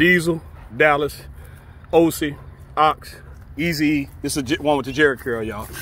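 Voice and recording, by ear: A man speaks at a moderate pace in a fairly high, fairly bright voice with ordinary pitch variation.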